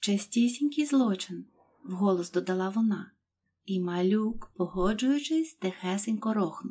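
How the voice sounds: Against a quiet background, the speaker uses a natural reading voice.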